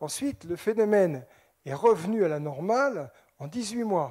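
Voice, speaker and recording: A man's high, dark and mellow voice at a fairly slow pace, with very wide pitch swings, big swings in loudness and long, frequent pauses. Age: 60s. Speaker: scientist lecturer on UFOs. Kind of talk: public lecture. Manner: animated.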